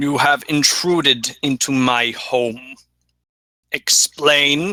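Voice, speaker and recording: Putting on a character voice, a man with a fairly high pitch speaks at a very slow pace with fairly even intonation. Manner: commanding.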